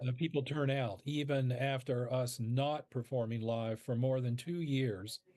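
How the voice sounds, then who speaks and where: A man's unremarkable speaking voice at medium pitch, fairly slow pace, very even loudness and hardly any pauses. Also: fairly even intonation. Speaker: founder of a university radio-play program, guest interviewee. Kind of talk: interview answer.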